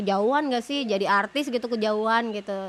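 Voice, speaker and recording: Fairly high in pitch with ordinary variation, a woman talks at a fairly quick pace. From Sulawesi, Indonesia. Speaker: singer and podcast co-host. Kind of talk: casual chat.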